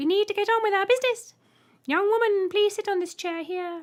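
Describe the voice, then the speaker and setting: In a put-on character voice, a woman squeaks out shrill words at an extremely high pitch. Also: fairly quick pace. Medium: read story. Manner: polite, cheery.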